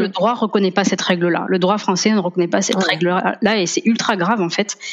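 A woman with fairly even intonation against noticeable background noise. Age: 30s. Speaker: lawyer and family therapist. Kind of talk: casual interview.

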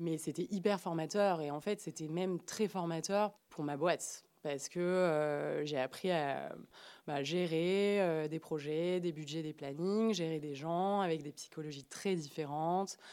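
Speaking at a very slow pace, a woman uses a dark, mellow tone, a fairly low pitch and fairly even intonation. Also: very clean recording, silent background. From Marseille, southern France. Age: 30s. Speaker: entrepreneur. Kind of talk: interview testimony. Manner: casual, hesitant with fillers.

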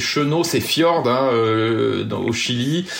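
A man's medium-pitched voice at a very slow pace over noticeable background noise. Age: 40s. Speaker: sailor and app creator. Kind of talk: interview. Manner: halting.

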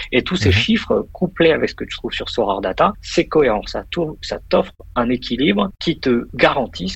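A man speaks at a moderate pace with very wide pitch swings, with noticeable background noise behind him. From Paris region, France. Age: 30s. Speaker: investor and finance professional. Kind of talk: casual interview. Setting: WhatsApp call from office.

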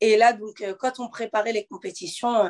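This woman has a plain, everyday voice with fairly high pitch. She talks at a fairly slow pace. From Normandy, France (Le Havre). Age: 20s. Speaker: professional boxer. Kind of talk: interview.

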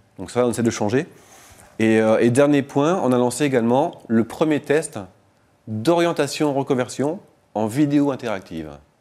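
A man speaks in a dark, mellow tone at a medium pitch and a moderate pace. His pitch variation is ordinary, and he takes long, frequent pauses. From northern France, Lille. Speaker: startup founder. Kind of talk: radio interview. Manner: casual.

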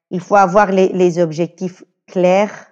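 A woman speaks with a Spanish accent at a medium pitch. The background is quiet. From Venezuela, Caracas. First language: Spanish (speaking French). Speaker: communications officer. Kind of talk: casual interview. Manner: hesitant, many fillers.

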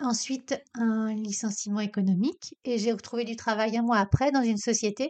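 An ordinary speaking voice from a woman, fairly high in pitch, with fairly even intonation and a moderate pace. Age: 50s. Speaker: career coach, podcast host. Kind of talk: casual self-interview monologue.

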